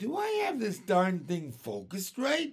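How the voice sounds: Shouting in a put-on character voice, a man speaks fairly slowly at a high pitch with very wide pitch swings and a slightly husky edge.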